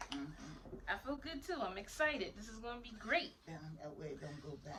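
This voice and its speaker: A woman speaks at a moderate pace with a fairly high pitch and very wide pitch swings. Noticeable background noise runs behind her. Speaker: grandmother. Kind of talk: interview question.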